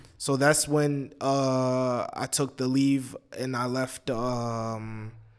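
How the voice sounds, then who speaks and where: Very slowly, a man talks in a monotone, flat delivery. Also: medium pitch for a man. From Brooklyn, New York; raised in Egypt from childhood. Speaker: American expat raised in Egypt. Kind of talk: interview answer. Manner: casual, conversational.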